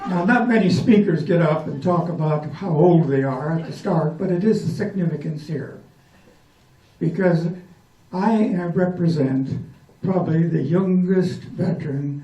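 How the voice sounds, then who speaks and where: With audible room echo around him, a man speaks at a fairly slow pace with long, frequent pauses, using a high pitch, a dark, mellow tone and ordinary pitch variation. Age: 80s+. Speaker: World War II veteran. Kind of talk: speech. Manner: halting.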